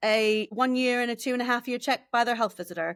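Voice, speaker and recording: With an American accent, a woman talks at a fairly quick pace in an animated tone, recorded with a dry, close sound with no echo and a very clean recording with a silent background. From United States. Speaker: speech and language therapist. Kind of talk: podcast interview.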